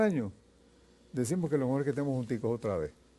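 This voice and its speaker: Very wide pitch swings mark a man's voice, which has a dark, mellow tone. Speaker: veteran leftist politician. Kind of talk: interview.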